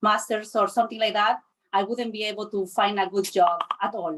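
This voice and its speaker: A woman speaks with a Spanish accent. Her pitch is fairly high and her pace moderate. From Chile. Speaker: panelist. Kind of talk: panel discussion.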